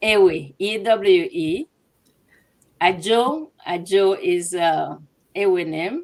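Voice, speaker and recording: A woman with a Togolese accent, at a medium pitch and a very slow pace, with lively intonation and long, frequent pauses. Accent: West African Francophone (Togolese). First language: Ewe (also French). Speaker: translation business owner. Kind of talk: interview.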